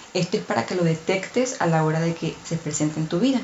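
Over noticeable background noise, a woman speaks at a fairly quick pace. Her pitch is fairly low. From outside Mexico. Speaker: podcast host. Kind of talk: casual monologue.

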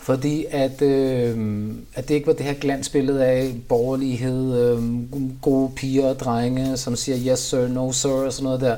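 Spoken at a fairly slow pace with hardly any pauses, the voice has a monotone, flat intonation over noticeable background noise. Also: man, medium pitch for a man. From Copenhagen, Denmark. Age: 40s. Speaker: rapper. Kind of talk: interview. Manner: casual, filler-heavy.

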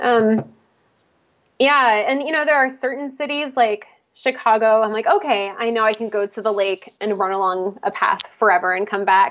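Here is an ordinary speaking voice from a woman with an American accent. She speaks at a moderate pace with a fairly high pitch and ordinary pitch variation. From Pennsylvania, outside Philadelphia. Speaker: musician and marathon runner. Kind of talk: casual interview.

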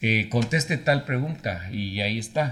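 In a somewhat breathy voice, a man drags his words out very slowly. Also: very clean recording, silent background. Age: 60s. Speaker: broadcasting professor. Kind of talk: interview. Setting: studio.

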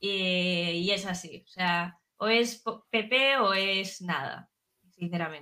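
At a very slow pace, a woman speaks at medium pitch with ordinary pitch variation. Her tone is bright and sharp. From Ribadeo, coast of Lugo, Galicia, Spain. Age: 20s. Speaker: podcast guest. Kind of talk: casual chat.

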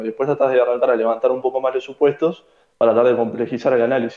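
This man talks at a fairly quick pace in a medium pitch. He has an ordinary speaking voice. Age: 20s. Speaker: economics student. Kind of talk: casual chat.

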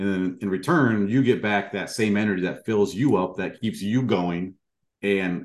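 An unremarkable speaking voice from a man, fairly low in pitch, with ordinary pitch variation over a quiet background. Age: 40s. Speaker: podcast host. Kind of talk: interview.

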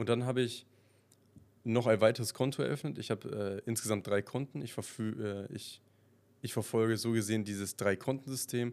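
Speaking at a fairly quick pace, a man has an ordinary speaking voice with medium pitch and fairly even intonation. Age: 20s. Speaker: podcast host. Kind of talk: casual monologue.

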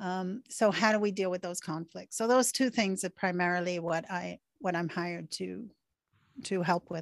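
A woman at medium pitch with an ordinary speaking voice, a moderate pace and ordinary pitch variation, dry and close with no echo, over a quiet background. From Venezuela and Canada, born in England. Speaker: author and behavioural trainer. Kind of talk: interview.

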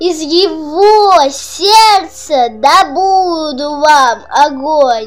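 A woman's put-on character voice, high-pitched with lively intonation at a very slow pace, with audible room echo and faint music in the background.

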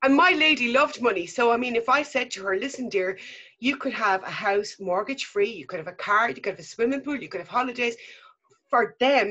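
A woman speaks in an Irish accent. Her fairly high pitch carries a bright, sharp tone. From Ireland. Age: 50s. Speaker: mother telling her story. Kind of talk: testimony. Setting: remote call.

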